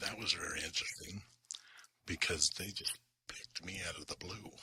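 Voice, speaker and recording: A man whispering in a calm, relaxed tone. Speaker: commercial photographer. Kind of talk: ASMR-style calm storytelling to camera. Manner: calm, relaxed, non-whispered.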